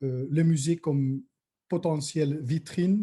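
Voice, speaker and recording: A man with a non-native accent, very slow and somewhat breathy, his tone dark and mellow and his intonation fairly even. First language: not French (speaking French). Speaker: museum director. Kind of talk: conference talk. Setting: online conference. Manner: halting, many hesitations.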